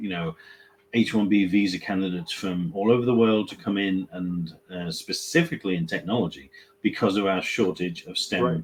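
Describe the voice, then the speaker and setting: A fairly low-pitched male voice at a moderate pace, with ordinary pitch variation. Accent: British. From England. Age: 50s. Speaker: staffing company CEO. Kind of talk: webinar discussion.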